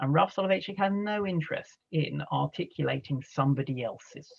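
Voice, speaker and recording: A man speaks at a moderate pace with an American accent. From England, London. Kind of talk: lecture. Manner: conversational, with filler words.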